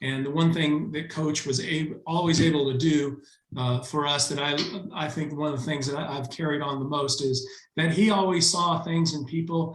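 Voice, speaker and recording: Audible room echo surrounds a man speaking at a moderate pace. His pitch is fairly high with ordinary variation. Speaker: alumnus and event organizer. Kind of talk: speech of thanks on video call. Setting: video call. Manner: halting, many fillers.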